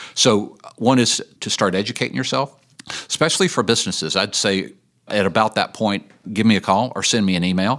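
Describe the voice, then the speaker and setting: A man talks at a fairly low pitch and a fairly quick pace. He has an unremarkable speaking voice with ordinary pitch variation. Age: 60s. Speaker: addiction ministry leader. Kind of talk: podcast interview.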